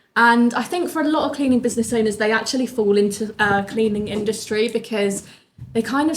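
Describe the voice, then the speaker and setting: A woman's fairly high voice at a fairly quick pace, with a southern English accent. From southern England, Bournemouth. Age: 20s. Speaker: business owner. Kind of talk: interview.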